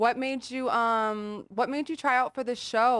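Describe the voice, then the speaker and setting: Fairly slow pace in a Californian accent, with a dry, close sound with no echo on a very clean recording with a silent background. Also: woman. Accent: Californian American English. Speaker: podcast host. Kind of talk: casual interview chat.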